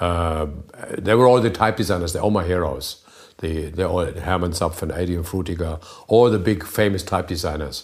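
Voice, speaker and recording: With a German accent, a man speaks in a very deep, low voice with ordinary pitch variation. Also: moderate pace. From northern Germany. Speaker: type designer. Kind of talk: casual chat. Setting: home kitchen.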